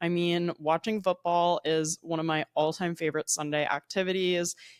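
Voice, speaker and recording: In a New Jersey accent, a woman talks at a fairly low pitch and moderate pace. The recording is very clean, with a silent background and a dry, close sound with no echo. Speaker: podcast host. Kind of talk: casual monologue. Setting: at home. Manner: chatty.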